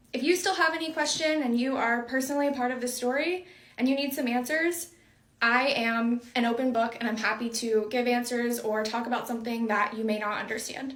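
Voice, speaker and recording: Audible room echo surrounds speech delivered at a moderate pace, its pitch varying in an ordinary way. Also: woman. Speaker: content creator. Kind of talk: casual chat.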